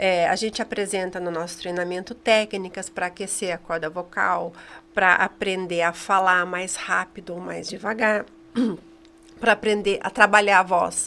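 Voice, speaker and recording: A woman speaks at a fairly slow pace. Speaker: communication trainer. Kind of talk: interview.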